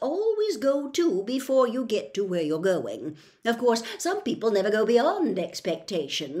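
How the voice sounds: The speaker uses a natural reading voice.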